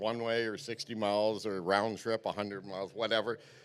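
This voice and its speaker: This man speaks at a fairly quick pace in a normal speaking voice, fairly low in pitch, with a Canadian accent, on a very clean recording with a silent background. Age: 60s. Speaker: tournament angler. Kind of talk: weigh-in interview. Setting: stage with audience.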